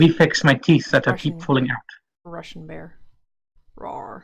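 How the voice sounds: A raspy put-on character voice at middle pitch and moderate pace.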